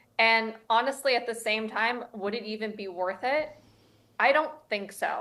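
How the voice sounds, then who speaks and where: With a Southern Californian accent, a woman speaks in a fairly high, bright, sharp voice. The recording is very clean, with a silent background. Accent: Southern California American. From Los Angeles, Beverly Hills. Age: 30s. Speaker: real estate agent. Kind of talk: interview.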